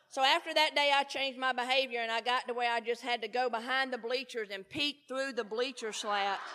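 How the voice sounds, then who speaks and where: A woman talks loudly and at a fairly quick pace, with hardly any pauses, in a Southern US accent. Her high-pitched voice has an animated, bright, sharp tone. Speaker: recovery speaker. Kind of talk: speaker talk at a conference.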